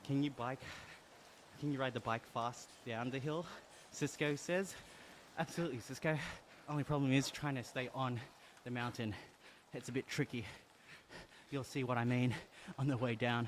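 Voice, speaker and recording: Speaking at a moderate pace and medium pitch, a man keeps a fairly even intonation with long, frequent pauses. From Australia. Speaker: gaming streamer. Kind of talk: live stream chat while cycling. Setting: indoor trainer with fan behind, switched off.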